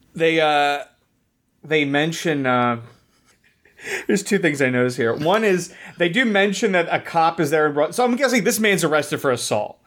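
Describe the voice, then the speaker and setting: Intonation is lively and loudness stays very even, broken by long, frequent pauses. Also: man, fairly high pitch for a man, moderate pace. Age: 30s. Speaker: podcaster. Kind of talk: casual chat.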